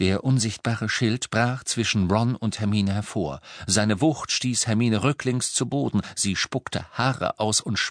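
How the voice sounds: This is a natural reading voice. The words are read in it throughout.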